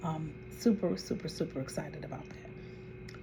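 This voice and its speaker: A woman speaks at a fairly slow pace. Audible room echo and music sit in the background. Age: 60s. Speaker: vlogger. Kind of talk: casual chat.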